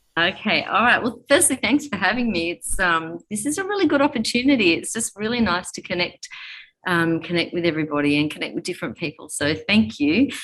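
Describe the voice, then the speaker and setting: A woman speaks at a fairly quick pace with an Australian accent. Her medium-pitched voice makes very wide pitch swings. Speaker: fitness studio owner and coach. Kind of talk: interview.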